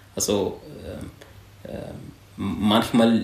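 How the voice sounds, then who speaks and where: A man with an Arabic accent speaks at a medium pitch with monotone, flat intonation. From Syria. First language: Arabic (speaking German). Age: 20s. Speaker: home care aide. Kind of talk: interview.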